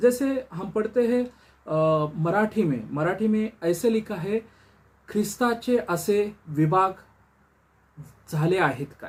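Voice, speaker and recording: This man has a Marathi accent. His voice sits at a high pitch. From Maharashtra, India. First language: Marathi (speaking Hindi). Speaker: pastor. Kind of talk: sermon. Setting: solo recording in early morning.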